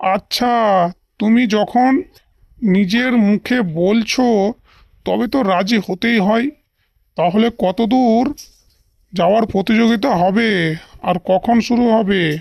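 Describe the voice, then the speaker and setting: A cartoonish character voice at a fairly high pitch drawls along at a very slow pace. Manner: mocking, cocky.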